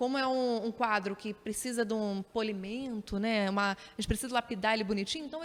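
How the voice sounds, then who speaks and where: A woman's fairly high-pitched voice with fairly even intonation, over noticeable background noise. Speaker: TV journalist and presenter. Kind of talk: interview answers. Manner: hesitant, with repetitions and frequent tag questions.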